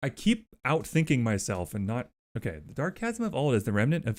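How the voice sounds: The background stays quiet as a natural reading voice carries the clip.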